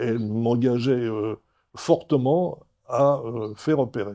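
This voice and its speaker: A man speaks at a fairly slow pace with fairly even intonation. His tone is dark and mellow, against a quiet background. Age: 80s+. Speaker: patient. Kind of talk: testimony. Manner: halting.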